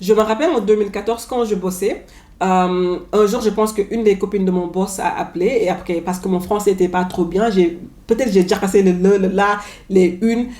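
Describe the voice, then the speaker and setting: This woman's voice sits at a medium pitch and keeps a fairly even intonation. She talks at a fairly quick pace. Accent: anglophone. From New York, US. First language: English (speaking French). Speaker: vlogger. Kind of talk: casual vlog monologue. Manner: halting, with filler and repetitions.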